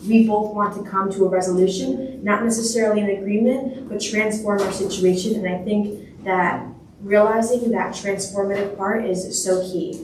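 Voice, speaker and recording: A woman speaks at a medium pitch with fairly even intonation. Noticeable background noise and audible room echo surround her voice. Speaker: youth representative, panel speaker. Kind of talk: panel talk.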